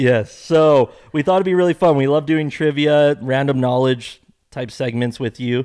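A man talks at a moderate pace with a fairly high pitch. He has a plain, everyday voice, and his pitch varies in an ordinary way. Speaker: podcast host; former marketing executive. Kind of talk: casual chat.

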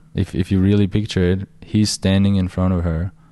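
In a German accent, the voice carries a dark, mellow tone with monotone, flat intonation. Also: man, quiet background. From Austria. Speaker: dating coach. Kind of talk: casual chat.

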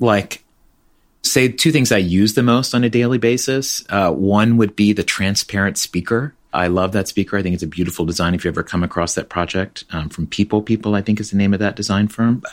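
The speaker uses a normal speaking voice at a fairly quick pace with ordinary pitch variation. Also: man. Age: 40s. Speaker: tech company co-founder. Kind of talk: interview. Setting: remote interview, guest at home.

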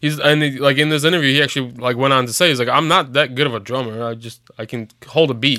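With an American accent and a bright, sharp tone, a man rushes along very fast with hardly any pauses and fairly even intonation. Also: medium pitch for a man. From Chicago. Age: 30s. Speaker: podcast co-host. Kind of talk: casual chat.

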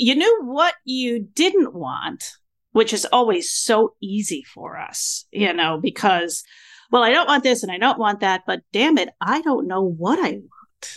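A woman speaks at a fairly slow pace with a fairly high pitch and very wide pitch swings. The background is quiet. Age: 60s. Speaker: podcast host. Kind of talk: casual interview chat. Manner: animated.

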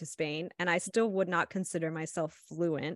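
In an ordinary speaking voice, a woman talks at a fairly low pitch, the sound dry and close with no echo against a quiet background. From Ohio, US Midwest. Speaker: life coach and podcaster. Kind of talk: casual chat.

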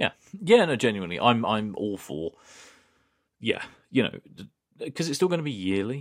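A man at medium pitch and moderate pace, with very wide pitch swings, big swings in loudness and long, frequent pauses. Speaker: podcast co-host. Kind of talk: casual chat. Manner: jokey.

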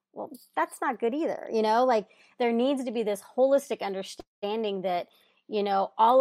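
In an ordinary speaking voice, a woman talks at a moderate pace in a fairly high pitch with ordinary pitch variation, on a very clean recording with a silent background and a dry, close sound with no echo. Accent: American. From Texas. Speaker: food justice activist, nonprofit founder. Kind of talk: interview.

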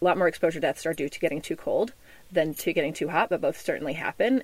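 The speech moves at a very fast pace. It comes in an American accent. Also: woman. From US South, Memphis, Tennessee. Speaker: wilderness survival guide. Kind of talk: interview; tutorial. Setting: inside a converted bus.

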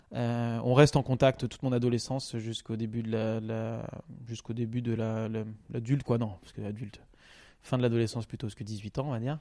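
A man with a dark, mellow tone speaks at a medium pitch and a fairly quick pace. His intonation is monotone and flat, while his loudness swings widely. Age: 30s. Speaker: podcast guest sharing life story. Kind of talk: personal testimony interview. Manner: halting, many fillers.

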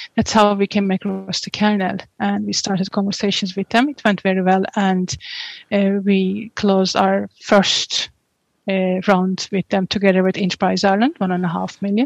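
With a Turkish accent, the speaker talks at a moderate pace in a monotone, flat intonation. The background is quiet, and the sound is dry and close with no echo. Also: woman, medium pitch for a woman. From Turkey. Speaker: tech company co-founder. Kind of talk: interview.

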